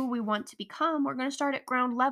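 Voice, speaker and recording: On a very clean recording with a silent background, a woman uses a raised, projected voice with a bright, sharp tone and high pitch. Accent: American. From Colorado. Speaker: podcast host. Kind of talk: solo motivational podcast monologue.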